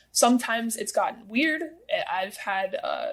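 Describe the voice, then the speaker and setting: A woman's pitch varies in an ordinary way as noticeable background noise plays behind her. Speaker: TikTok creator. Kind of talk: interview. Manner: fast.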